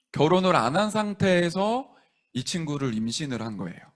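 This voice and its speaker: The recording is very clean and the background silent. His delivery, at a moderate pace, comes from a man with lively intonation. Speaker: pastor. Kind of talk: sermon. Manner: gentle, non-pushy.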